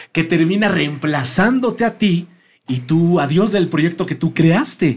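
A man speaks with a Mexican accent at a high pitch. His pitch variation is ordinary. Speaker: podcast host. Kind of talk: casual interview chat.

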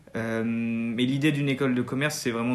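A man at a fairly quick pace, medium in pitch and fairly even in intonation, with audible room echo. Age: 20s. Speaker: business school student. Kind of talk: interview. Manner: halting.

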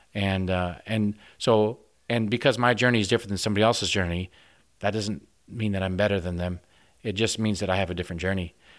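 A man's fairly low voice in a Midwestern American accent, very fast pace, fairly even intonation, very clean recording with a silent background. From US Midwest, northwest Iowa. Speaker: organic farmer and veterinarian. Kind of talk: radio interview. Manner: halting, many repetitions.

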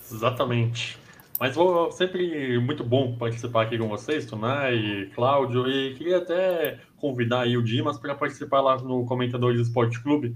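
A man speaks in an unremarkable speaking voice at a moderate pace. His medium pitch carries ordinary pitch variation. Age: 30s. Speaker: sports commentator. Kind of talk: casual chat.

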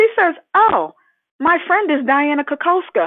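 A woman with an American accent at a fairly slow pace. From Boston. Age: 50s. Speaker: real estate agent. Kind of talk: interview, casual chat. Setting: phone call. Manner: animated.

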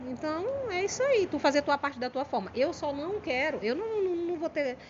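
Amid noticeable background noise, a woman's high-pitched voice makes very wide pitch swings. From Maranhão, Brazil (São Luís). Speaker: comedian. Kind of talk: casual chat.

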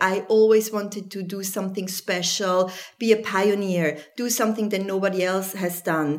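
Noticeable background noise sits under speech that moves at a fairly slow pace. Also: woman. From Switzerland. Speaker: journalist. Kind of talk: interview.

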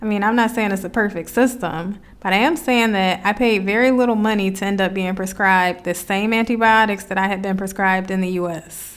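This woman, with an American accent, has a plain, everyday voice at a medium pitch. She talks at a fairly quick pace with hardly any pauses and fairly even intonation. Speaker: podcast host, facilitator and coach. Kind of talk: personal reflective monologue.

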